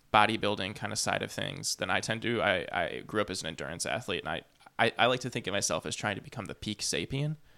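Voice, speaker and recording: In a very clean recording with a silent background, a man speaks very fast in a fairly low, bright, sharp voice with vocal fry and lively intonation. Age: 30s. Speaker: podcast host. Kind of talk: casual chat. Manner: halting.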